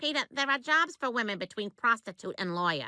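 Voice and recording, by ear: A cartoonish character voice, female-sounding and fairly high-pitched, at a fairly quick pace.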